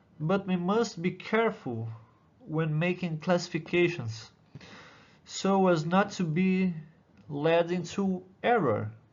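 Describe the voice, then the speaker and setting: A man with a Brazilian accent talks at a very slow pace with a high pitch. He leaves long, frequent pauses. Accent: non-native English, Brazilian. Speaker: doctoral student in musicology. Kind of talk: conference presentation. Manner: halting.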